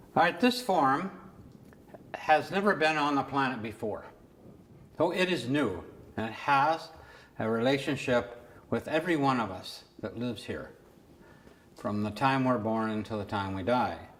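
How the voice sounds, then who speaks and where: An American-accented man with long, frequent pauses and audible room echo. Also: medium pitch for a man, lively intonation, moderate pace. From California. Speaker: artist and retired teacher. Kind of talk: lecture.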